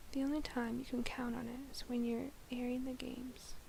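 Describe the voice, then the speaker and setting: A soft-spoken woman whispering at a moderate pace. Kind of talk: bedtime novel reading. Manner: soft-spoken, whispered.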